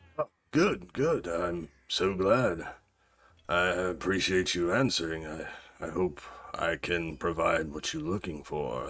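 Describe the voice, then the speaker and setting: Putting on a character voice, a man speaks raspy and very deep at a fairly slow pace with ordinary pitch variation. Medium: actual play. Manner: polite, hesitant.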